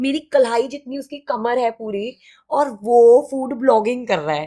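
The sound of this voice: A woman speaks with a fairly high pitch. Her tone is dark and mellow. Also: ordinary pitch variation, moderate pace.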